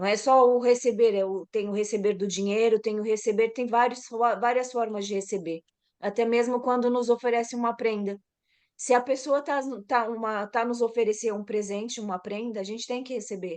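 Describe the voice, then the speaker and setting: Against a quiet background, a woman with a fairly high pitch talks at a moderate pace with fairly even intonation. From Brazil, São Paulo. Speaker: massage therapist. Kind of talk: casual chat.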